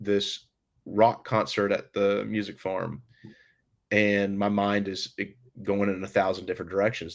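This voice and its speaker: A man with a plain, everyday voice, fairly low in pitch, at a moderate pace on a very clean recording with a silent background. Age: 30s. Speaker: country band musician. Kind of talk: podcast interview, storytelling.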